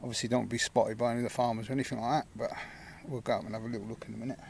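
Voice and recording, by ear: Racing at a very fast pace, a man speaks with vocal fry and little pitch movement. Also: medium pitch for a man, slightly mellow tone.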